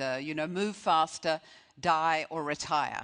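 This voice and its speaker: With an American accent, a woman speaks at a fairly slow pace in a very deep, low pitch, her intonation fairly even over a quiet background. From Australia. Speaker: retail strategist, keynote speaker. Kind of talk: conference keynote speech.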